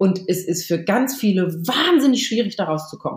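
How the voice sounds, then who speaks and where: A woman's somewhat breathy, medium-pitched voice with lively intonation, on a very clean recording over a silent background. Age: 40s. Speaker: author and journalist. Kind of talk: podcast interview.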